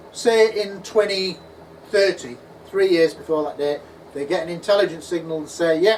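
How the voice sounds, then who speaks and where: Over noticeable background noise and audible room echo, a man with an English accent and a high pitch speaks at a moderate pace with ordinary pitch variation. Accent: English accent, noticeable to US networks. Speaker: UFO researcher and conference speaker. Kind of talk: conference talk Q&A. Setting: conference at a pub venue with audience. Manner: animated.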